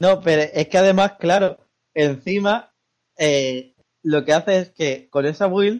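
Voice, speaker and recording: A man speaks with a slight Andalusian accent. His pitch shows ordinary variation. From Andalusia, Spain. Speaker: podcast co-host, gamer. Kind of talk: casual chat. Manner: animated.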